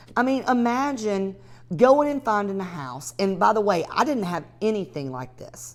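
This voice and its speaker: A woman with a strong Southern accent talks fairly slowly in an animated tone, her pitch swinging very widely. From US South, north Georgia. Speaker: real estate investor and coach. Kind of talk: live training webinar.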